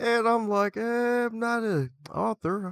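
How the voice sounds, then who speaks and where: A man with an American accent, on a very clean recording with a silent background and a dry, close sound with no echo. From Baltimore, Maryland. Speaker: author, librarian and podcaster. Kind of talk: casual interview chat. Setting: live video broadcast.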